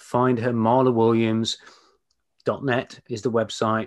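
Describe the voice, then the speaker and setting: Speaking at a fairly slow pace against a quiet background, a man with a British accent talks at a medium pitch. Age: 50s. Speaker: business coach and podcast host. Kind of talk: casual interview. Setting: video call.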